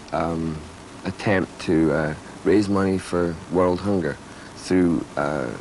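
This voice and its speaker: Over noticeable background noise, a man speaks fairly slowly with a very deep, low pitch. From Britain (Scotland). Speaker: rock bassist. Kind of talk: interview. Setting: studio.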